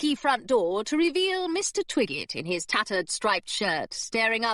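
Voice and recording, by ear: The speaker is reading aloud in a natural voice. The words are read out.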